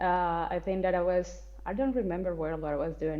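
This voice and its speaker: Speaking at a moderate pace, a woman with a Colombian accent uses a fairly low pitch. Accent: non-native English, Colombian Spanish. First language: Spanish. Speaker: actress, writer and spiritual content creator. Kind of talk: podcast interview.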